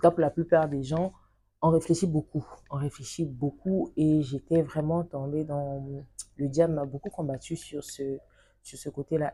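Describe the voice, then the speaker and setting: Somewhat breathy, a woman speaks with a very deep, low pitch and a dark, mellow tone. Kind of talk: testimony.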